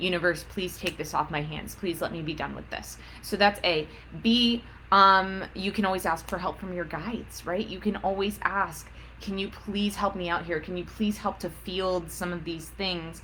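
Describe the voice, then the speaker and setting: A woman speaks with a bright, sharp tone and some vocal fry. Her medium pitch holds fairly even intonation at a moderate pace. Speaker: psychic counselor. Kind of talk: live-stream Q&A. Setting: social media livestream.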